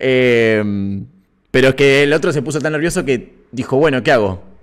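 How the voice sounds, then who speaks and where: Fairly slow, lively intonation from a man against a quiet background. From Argentina. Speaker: musician and streamer hosting a live stream; streamer hosting a live stream. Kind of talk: casual live stream chat with viewers. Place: home room. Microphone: studio mic.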